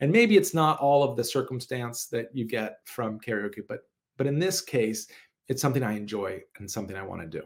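A man with a normal speaking voice and medium pitch talks at a fairly quick pace, his intonation lively and his loudness swinging widely. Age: 40s. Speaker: podcast host and wellness coach. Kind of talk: solo podcast talk.

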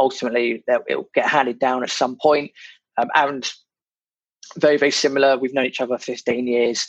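A man with a British accent, medium pitch, monotone, flat intonation and a fairly quick pace broken by long, frequent pauses. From Britain. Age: 30s. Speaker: podcast host, property investor. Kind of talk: casual chat.

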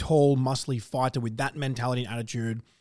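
With an Australian accent, a man talks at a medium pitch. His pace is very fast. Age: 20s. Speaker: podcast host. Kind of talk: casual chat.

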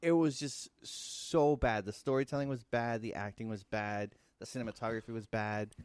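A man with a normal speaking voice speaks in an American accent at a medium pitch and moderate pace. His pitch varies in an ordinary way over a quiet background. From United States, Mexican American. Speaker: podcast co-host. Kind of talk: casual chat.

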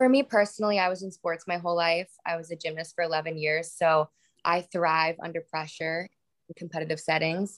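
A woman with an American accent and a plain, everyday voice, fairly low in pitch and fairly quick, in a very clean, dry, close recording with a silent background and no echo. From Florida, US South. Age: 20s. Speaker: influencer and model. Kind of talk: casual chat.

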